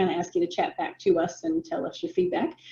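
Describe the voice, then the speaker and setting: A woman's pitch swings very widely as she speaks fairly quickly, with noticeable noise behind her. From United States. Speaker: business coach. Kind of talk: webinar presentation. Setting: video call.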